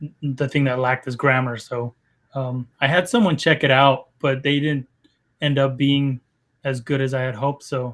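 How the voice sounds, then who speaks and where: A man's medium-pitched voice with a Spanish accent, monotone and flat, at a moderate pace. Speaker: game developer. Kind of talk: interview.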